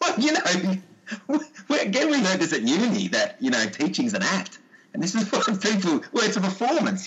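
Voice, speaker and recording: A man talks at a moderate pace with an Australian accent. Noticeable background noise runs behind him. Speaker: sports coach and PE teacher. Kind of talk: casual interview chat.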